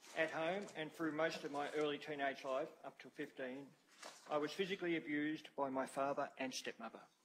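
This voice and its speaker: Fairly quick and fairly even in intonation, a man with an Australian accent speaks at a fairly high pitch. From Australia (Albury, NSW / Wodonga area). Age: 60s. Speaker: witness at a public inquiry. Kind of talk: reading a prepared statement aloud. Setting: hearing room. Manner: formal.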